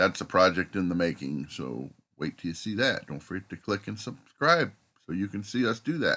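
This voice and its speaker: A man speaks with a very deep, low pitch and vocal fry. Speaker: vlogger. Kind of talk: casual vlog talk. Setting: campground, camper bus. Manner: talking low so others can sleep.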